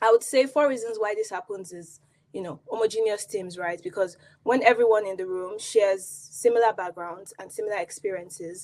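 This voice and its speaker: Speaking in a Nigerian accent, a woman shows big swings in loudness and ordinary pitch variation. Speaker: product designer. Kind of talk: conference talk.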